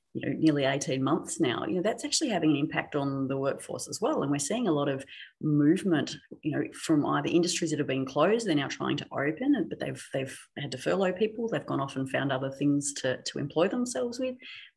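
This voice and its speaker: Very deep and low-pitched, a woman talks at a very fast pace with hardly any pauses. She has lively intonation and an Australian accent. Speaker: technology specialist. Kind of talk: podcast interview.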